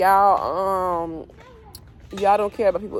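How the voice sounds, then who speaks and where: This woman has a medium-pitched voice. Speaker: tarot reader. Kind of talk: spiritual reading vlog. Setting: outdoors. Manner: fast; animated.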